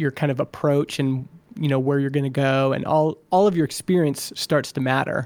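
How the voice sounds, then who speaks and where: A man with an unremarkable speaking voice talks with ordinary pitch variation. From Alberta, Canada. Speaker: software founder and podcaster. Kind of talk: interview.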